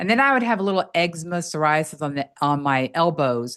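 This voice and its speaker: Her tone animated and her pitch fairly low, a woman talks at a moderate pace against a quiet background. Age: 60s. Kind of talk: testimony.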